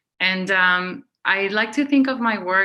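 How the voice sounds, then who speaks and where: Woman with a Spanish accent, bright, sharp tone, quiet background. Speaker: curator. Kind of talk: panel discussion.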